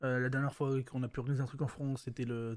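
A dark, mellow tone at a very fast pace. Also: man. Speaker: esports talk show host. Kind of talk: casual chat. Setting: live stream.

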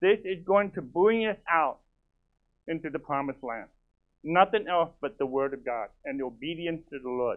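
With an unremarkable speaking voice, a man talks at a moderate pace and fairly high pitch, his intonation lively and his loudness swinging widely, against a quiet background. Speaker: pastor. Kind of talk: sermon. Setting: church. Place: church.

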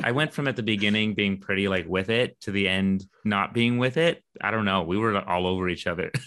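A plain, everyday voice from a man, fairly low in pitch with ordinary pitch variation, at a fairly quick pace with hardly any pauses. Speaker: podcast co-host and filmmaker. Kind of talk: casual chat. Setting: video call.

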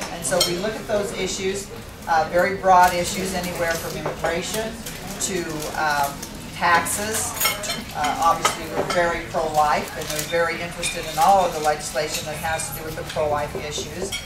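A woman talks at a moderate speed while loud background noise plays behind her. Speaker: guest. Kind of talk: talk to a meeting. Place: hall. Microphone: camera far.

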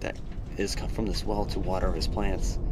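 A man is speaking. Light background noise sits behind him. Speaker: travel vlogger. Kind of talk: casual vlog chat. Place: tunnel cave. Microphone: phone near.

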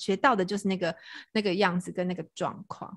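A woman at medium pitch and fairly quick pace with a plain, everyday voice, on a very clean recording with a silent background. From Taiwan, Tainan (Anping). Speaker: podcast host. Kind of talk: casual chat.

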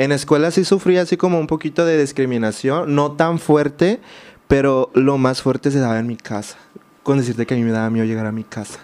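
Fairly high for a man, this man's pitch shows ordinary variation as he speaks at a fairly quick pace. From Mexico, Baja California Sur (San José del Cabo); Baja California Sur, Mexico. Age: 20s. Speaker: social media creator. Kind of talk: interview testimony. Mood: reflective, recounting hard childhood. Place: studio. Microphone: studio mic.

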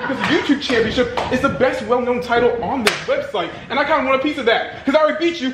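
A man at an extremely high pitch, fast pace and fairly bright tone, with ordinary pitch variation over faint background noise

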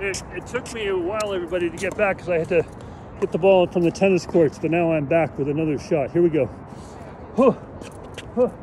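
A man talks at a very fast pace with long, frequent pauses. His high voice has ordinary pitch variation over noticeable background noise. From US West Coast, San Francisco. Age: 60s. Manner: animated.

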